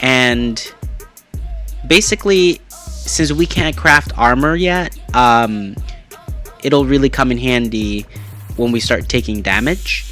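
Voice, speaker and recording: Very slow speech over music in the background. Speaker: gaming channel host. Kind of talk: let's play commentary. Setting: home recording, processed audio.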